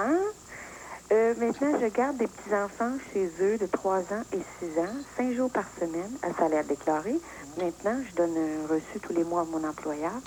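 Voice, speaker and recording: Over noticeable background noise, a woman with a medium-pitched voice speaks at a fairly slow pace with very wide pitch swings. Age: 60s. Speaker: caller. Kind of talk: phone-in talk.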